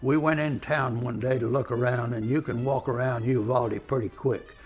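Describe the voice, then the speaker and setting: With music in the background, a man talks at a medium pitch and a moderate pace with fairly even intonation. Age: 90s. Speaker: war veteran. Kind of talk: storytelling. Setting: museum.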